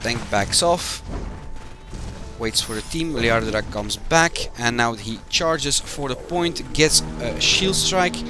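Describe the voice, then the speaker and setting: Over music in the background, a man with a fairly high pitch speaks at a very slow pace with lively intonation. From Belgium. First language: Dutch. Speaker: game community manager and match commentator. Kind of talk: live esports commentary. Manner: hesitant, with filler sounds.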